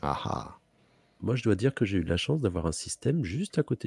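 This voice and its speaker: A man with vocal fry and very wide pitch swings, dry and close with no echo, in a very clean recording with a silent background. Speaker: gamer playing multiplayer strategy game. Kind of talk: casual gaming chat.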